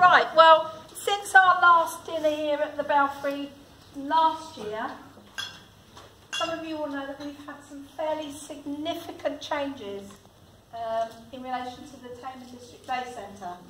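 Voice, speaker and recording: A woman projects a raised voice at a fairly slow pace, with long, frequent pauses and ordinary pitch variation. Light background noise and audible room echo surround her. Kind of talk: prepared speech. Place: hall.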